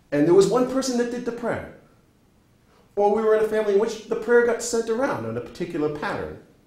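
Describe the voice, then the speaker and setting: A man's high-pitched, very fast speech with ordinary pitch variation, audible room echo and noticeable background noise. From New England (New Hampshire). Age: 60s. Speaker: professor. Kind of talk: lecture. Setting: classroom.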